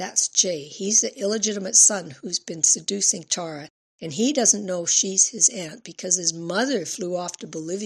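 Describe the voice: The speaker gives a plain reading aloud with ordinary pitch variation against a quiet background.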